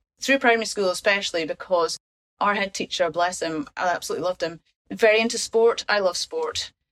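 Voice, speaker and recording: The speaker has a Scottish accent. The sound is dry and close, with no echo. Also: woman. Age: 50s. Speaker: patient and primary teacher. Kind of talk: casual chat.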